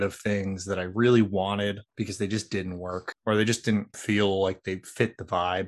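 A man talks at a moderate pace with hardly any pauses and a monotone, flat intonation over a quiet background. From Philadelphia, US. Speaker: tabletop game designer. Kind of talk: casual interview.

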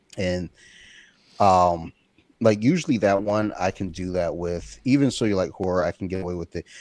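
An American accent at a moderate pace, with a dry, close sound and no echo. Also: man, very deep, low pitch for a man, ordinary pitch variation, very clean recording, silent background. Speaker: podcast host. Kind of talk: casual chat.

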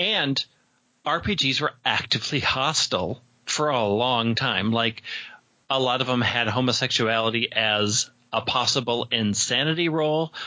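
At medium pitch and a moderate pace, a man with an unremarkable speaking voice keeps his loudness very even and his pitch variation ordinary. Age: 40s. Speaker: podcaster and game master. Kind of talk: casual interview chat.

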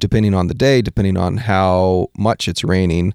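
In a normal speaking voice with an American accent, a man talks fairly slowly at a fairly low pitch with ordinary pitch variation, the sound dry and close with no echo on a very clean recording with a silent background. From Washington State. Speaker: photographer and artist. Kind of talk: casual chat. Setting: studio.

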